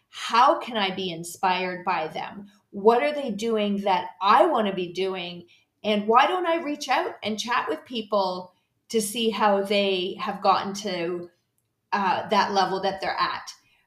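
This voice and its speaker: With an unremarkable speaking voice, a woman talks at a fairly slow pace, her medium pitch moving with ordinary variation. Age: 50s. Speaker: podcast host and health coach. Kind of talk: solo podcast monologue. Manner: casual with frequent fillers.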